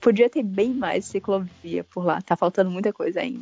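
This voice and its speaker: Background music runs throughout. Over it, a woman talks with ordinary pitch variation. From Ceará, Brazil. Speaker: podcaster guest. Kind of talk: casual chat. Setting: remote call from Germany.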